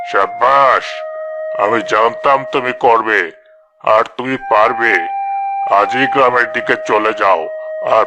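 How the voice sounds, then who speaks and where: Putting on a cartoonish character voice, a man talks at a fairly slow pace. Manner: persuasive, domineering.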